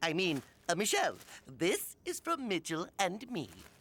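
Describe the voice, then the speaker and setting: Cartoonish character voice at a middle pitch and a moderate pace. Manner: bubbly, excited.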